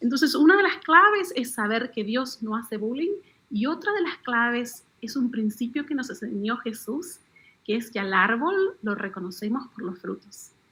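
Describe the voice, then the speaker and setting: A woman speaks at a moderate pace with an Argentine accent, her pitch high. Her tone is bright and sharp, and her pitch swings very widely. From Argentina. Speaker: author. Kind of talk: radio interview.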